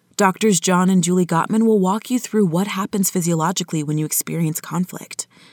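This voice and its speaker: The sound is dry and close, with no echo, and the intonation stays fairly even. It is an unremarkable speaking voice at a fairly quick pace. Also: woman. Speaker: podcast host. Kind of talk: scripted intro and outro announcement.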